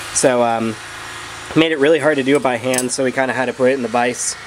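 A man speaks very fast in a flat monotone. Light noise sits in the background. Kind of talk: tutorial. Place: garage. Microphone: phone near.

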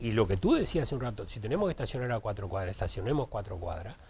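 A somewhat breathy man at a very fast pace, his pitch swinging very widely. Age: 60s. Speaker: municipal traffic director; interview guest. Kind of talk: live TV interview. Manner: halting, repeats words. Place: studio.

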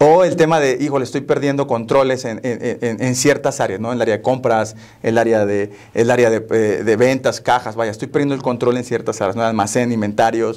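Speech runs at a fairly quick pace with hardly any pauses and fairly even intonation over a quiet background. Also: man. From Mexico, Tampico, Tamaulipas; Tamaulipas, Mexico. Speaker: software company operations director; guest. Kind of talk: interview. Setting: studio. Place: studio. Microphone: lapel.

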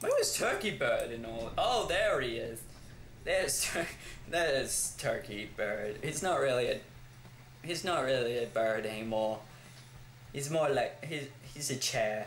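Fairly slow speech from a man with an Australian accent, broken by long, frequent pauses, with audible room echo and light background noise. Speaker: gaming YouTuber. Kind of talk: gameplay commentary. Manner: animated, frequent laughter. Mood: amused, relaxed. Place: home room.

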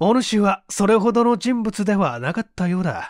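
On a very clean recording with a silent background and a dry, close sound with no echo, a man speaks at a fairly slow pace. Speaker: voice actor; stage actor. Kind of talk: audiobook reading of a mystery story.

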